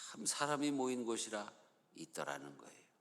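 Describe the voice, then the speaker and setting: In a room with audible echo, a man with a Chungcheong accent speaks with very wide pitch swings. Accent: Chungcheong tone even without dialect words. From Chungcheong, Korea. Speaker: pastor. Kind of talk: sermon.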